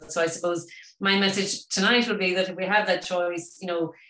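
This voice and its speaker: A woman with an Irish accent talks at a fairly quick pace in a monotone, flat delivery. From Ireland. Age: 50s. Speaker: vegan wellness expert. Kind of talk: webinar talk. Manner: fast.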